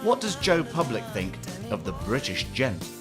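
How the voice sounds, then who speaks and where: With music playing in the background, a man speaks at a fairly slow pace, his pitch swinging very widely. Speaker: television presenter. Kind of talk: interviewing on location, casual conversation.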